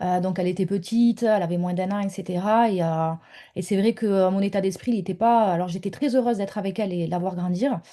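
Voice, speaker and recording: At a moderate pace and with fairly even intonation, a woman speaks at medium pitch in a dark, mellow tone against a quiet background. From southern France. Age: 30s. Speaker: mentor, former stay-at-home mother. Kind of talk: interview testimony. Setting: home office, video call. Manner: hesitant, many fillers.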